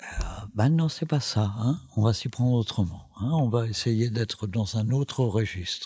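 Dark and mellow in tone, this man's somewhat breathy voice sits at a medium pitch with ordinary pitch variation. He keeps a very even loudness at a fairly slow pace. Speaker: documentary filmmaker. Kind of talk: interview. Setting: recorded at a film school in Paris. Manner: halting, many fillers and repetitions.

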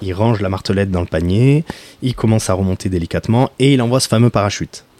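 Speaking at a very fast pace, a man uses a fairly low, dark and mellow voice with ordinary pitch variation, recorded with a dry, close sound and no echo. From Marseille, southern France. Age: 30s. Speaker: professional coral diver. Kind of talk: interview. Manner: halting.

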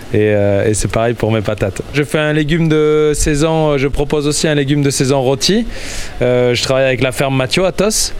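Ordinary pitch variation carries the speech over noticeable background noise. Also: man, fairly high pitch for a man, moderate pace, very even loudness. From Landes, southwest France. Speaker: rotisserie owner, market trader. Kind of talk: interview.

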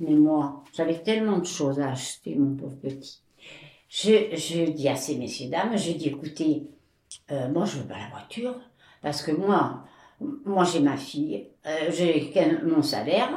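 A woman's very deep, low voice with lively intonation at a fairly slow pace, long, frequent pauses and audible room echo. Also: big swings in loudness. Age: 80s+. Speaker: interviewee sharing life story. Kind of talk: testimony. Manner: halting.

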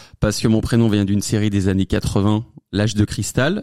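Dark and mellow, the tone belongs to a man. His sound is dry and close, without any echo. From France, Savoie. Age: 20s. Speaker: comedy content creator. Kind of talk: interview. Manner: fast, hesitant with fillers.

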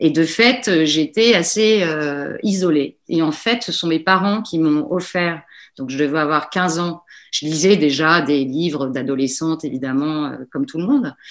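Against a quiet background, a woman with a very deep, low pitch speaks at a fairly slow pace with lively intonation. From Djibouti (French family). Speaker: novelist. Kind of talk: radio interview. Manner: halting, many repetitions and hesitations.

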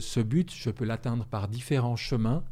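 Fairly slow speech with a dark, mellow tone and lively intonation on a very clean recording with a silent background. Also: man. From France or Switzerland. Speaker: author and trainer. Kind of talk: interview conversation.

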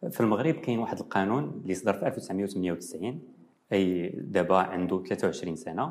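With a Moroccan accent, a man with a very deep, low pitch uses lively intonation at a moderate pace. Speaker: nephrology professor. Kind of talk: TV interview.

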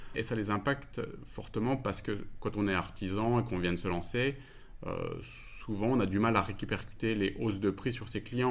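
Delivery comes at a fairly quick clip, and the pitch rises and falls in an ordinary way. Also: man. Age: 40s. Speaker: company director. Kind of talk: interview answers. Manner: hesitant, many fillers.

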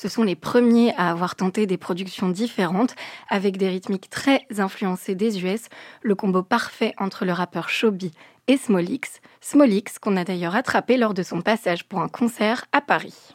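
Recorded very cleanly against a silent background, with a dry, close sound and no echo, a woman talks at a medium pitch with ordinary pitch variation in an unremarkable speaking voice. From France, Moroccan family from Fès. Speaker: radio host. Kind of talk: scripted narration. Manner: clear, fluent.

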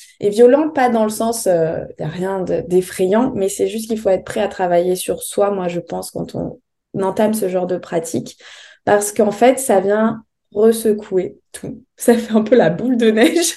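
A woman's dark, mellow tone at a fairly slow pace. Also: medium pitch for a woman, ordinary pitch variation. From France, Bordeaux area. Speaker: holistic coach and yoga teacher. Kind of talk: interview. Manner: hesitant, many fillers.

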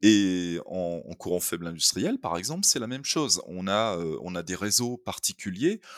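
A man's very deep, low voice with ordinary pitch variation, at a moderate pace with hardly any pauses, in a very clean recording with a silent background. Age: 50s. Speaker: BIM manager. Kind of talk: interview. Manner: hesitant, many filler sounds.

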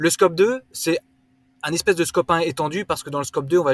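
A man talks at a fairly quick pace with ordinary pitch variation. The recording is very clean and silent behind him, with a dry, close sound and no echo. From Alsace, France (rural, near Swiss border). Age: 30s. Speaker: startup co-founder, carbon accounting. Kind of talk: casual interview. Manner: halting, many filler words.

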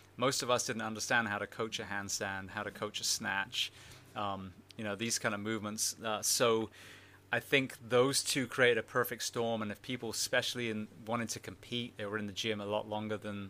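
A man speaks with an English accent at a fairly quick pace, his pitch fairly low. The tone is bright and sharp, and the intonation stays monotone and flat. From England. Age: 40s. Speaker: former firefighter and podcast host. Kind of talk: interview conversation.

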